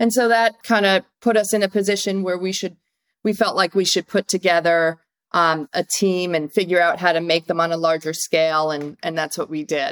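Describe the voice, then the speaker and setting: A woman with a normal speaking voice and an American accent talks at a moderate pace in a fairly low pitch with ordinary pitch variation, in a dry, close sound with no echo. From US Northeast (upstate New York, Massachusetts). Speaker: food entrepreneur, company founder. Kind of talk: interview.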